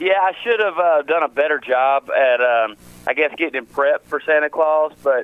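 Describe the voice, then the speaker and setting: A man with a Tennessee accent at a fairly high pitch and moderate pace, his loudness very even. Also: ordinary pitch variation. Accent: Southern US (Tennessee). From West Tennessee. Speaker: country singer. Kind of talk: radio interview. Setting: phone call.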